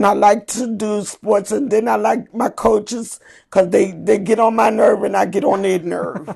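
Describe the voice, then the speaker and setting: Vocal fry runs through speech at a moderate pace with fairly even intonation. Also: woman, medium pitch for a woman. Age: 60s. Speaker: Special Olympics athlete. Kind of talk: interview.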